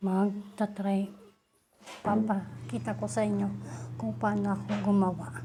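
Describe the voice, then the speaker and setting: Audible room echo surrounds a loud woman whose very deep, low voice makes very wide pitch swings at a fairly slow pace. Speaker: beauty vlogger. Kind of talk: casual tutorial vlog. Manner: deliberately loud.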